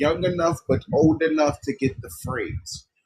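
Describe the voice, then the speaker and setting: A man talks at a moderate pace, somewhat breathy, with ordinary pitch variation. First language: not English. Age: 30s. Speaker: livestream host. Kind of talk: livestream talk. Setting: live stream. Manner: halting.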